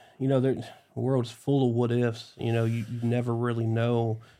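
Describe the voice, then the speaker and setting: A man with an American accent speaks at medium pitch with monotone, flat intonation. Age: 30s. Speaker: police chief. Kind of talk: casual interview chat.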